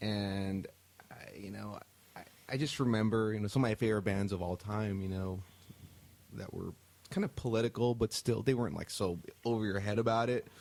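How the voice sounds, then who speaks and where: This man's fairly low voice moves at a fairly quick pace but with long, frequent pauses, fairly even intonation and big swings in loudness. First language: Spanish. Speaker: rock band musician. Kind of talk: casual chat.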